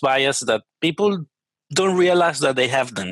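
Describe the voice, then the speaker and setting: Recorded with a dry, close sound and no echo, a man speaks in a Spanish accent with lively intonation. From Venezuela. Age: 30s. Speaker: software engineer. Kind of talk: interview conversation.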